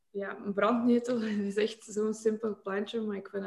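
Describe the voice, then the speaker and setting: A woman's flat, monotone intonation. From Kazakhstan and Russia, then Belgium from age 13. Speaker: beauty brand founder. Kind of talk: casual interview.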